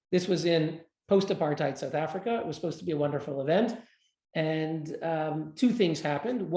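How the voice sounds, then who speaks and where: At a fairly quick pace, a man speaks with a fairly high pitch, a dark, mellow tone and ordinary pitch variation. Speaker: human rights advocate. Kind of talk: interview. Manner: fast.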